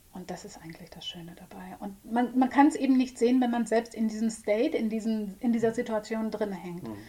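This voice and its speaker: A woman with a fairly high pitch and a normal speaking voice, fairly quick and with hardly any pauses, ordinary pitch variation, big swings in loudness. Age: 40s. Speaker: psychotherapist. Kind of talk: casual chat. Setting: studio.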